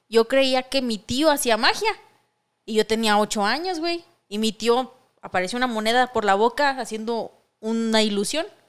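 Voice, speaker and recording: At a moderate pace, a woman talks in a fairly high voice against a quiet background. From Mexico. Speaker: podcast co-host. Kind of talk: casual chat. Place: studio. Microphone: studio mic.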